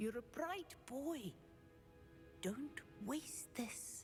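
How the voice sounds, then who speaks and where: Over clear background music, a woman puts on a character voice pitched high. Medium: video game. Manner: stern, disapproving.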